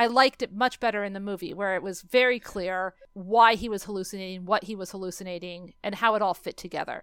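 Speaking in a normal speaking voice, a woman keeps a medium pitch and ordinary pitch variation at a fairly quick pace, recorded very cleanly against a silent background. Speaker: podcast host. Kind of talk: casual chat. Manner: casual, opinionated.

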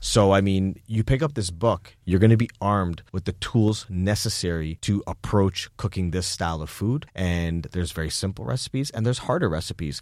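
A man with a plain, everyday voice speaks at a fairly low pitch with lively intonation and hardly any pauses. The recording is very clean, with a silent background. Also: moderate pace. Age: 30s. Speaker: chef. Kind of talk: interview. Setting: studio.

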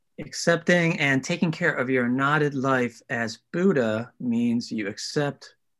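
The man's pitch is fairly high and his intonation lively. He speaks at a very slow pace. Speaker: study group participant. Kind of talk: reading aloud and discussion.

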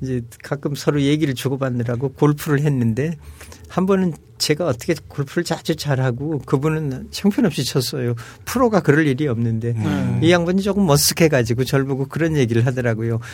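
Against music in the background, a man with a fairly high pitch and ordinary pitch variation talks at a fairly quick pace. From Seoul, South Korea. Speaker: retired diplomat and professor. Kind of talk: casual chat.

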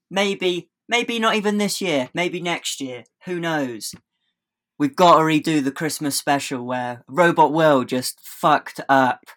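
Very clean with a silent background, the recording is dry and close with no echo. A man with a southern English accent and fairly high pitch speaks at a fairly slow pace with lively intonation. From England, Oxfordshire (Bicester). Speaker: skateboarder. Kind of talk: casual chat.

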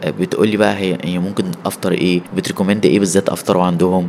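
A man speaks with a very deep, low pitch and fairly even intonation. Noticeable background noise runs under his voice. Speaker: solo traveler. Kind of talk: casual chat.

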